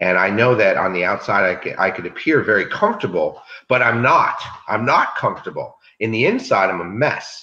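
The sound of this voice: A man's bright, sharp tone at a moderate pace, with audible room echo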